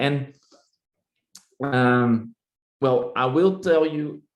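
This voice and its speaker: A man speaks with a Dutch accent. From Netherlands. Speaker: neurologist. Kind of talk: lecture. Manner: halting.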